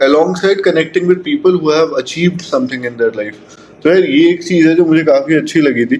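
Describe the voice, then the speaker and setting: Lively in intonation and high in pitch, a man speaks with hardly any pauses. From Lucknow, northern India (mixed factory campuses). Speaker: podcaster. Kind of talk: casual interview chat.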